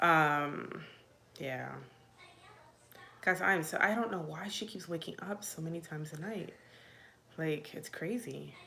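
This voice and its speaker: The loudness swings a lot, with long, frequent pauses. Pitch variation is ordinary, and room echo is audible. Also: woman, fairly low pitch for a woman, fairly slow pace. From Virginia, US (military childhood, born Puerto Rico). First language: Spanish. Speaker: mom vlogger. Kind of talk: casual live Q&A. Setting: livestream. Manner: chatty, filler-heavy.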